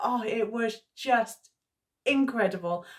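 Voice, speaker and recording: A woman's voice with ordinary pitch variation, over a quiet background. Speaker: history vlogger. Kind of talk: casual vlog chat. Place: home room.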